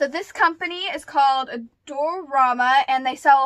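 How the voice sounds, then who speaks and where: A woman's voice with ordinary pitch variation against a quiet background. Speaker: vlogger. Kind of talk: casual vlog chat. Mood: excited. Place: home room. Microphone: phone near.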